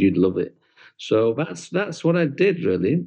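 A fairly quick pace from a man with a British accent. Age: 40s. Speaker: tour operator. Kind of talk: interview.

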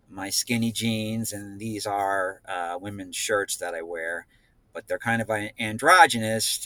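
In a dry, close sound with no echo, a man with an American accent and a fairly low pitch speaks at a fairly slow pace in a bright, sharp tone, his intonation fairly even. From New Jersey. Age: 50s. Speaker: guest sharing personal story. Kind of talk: casual chat.

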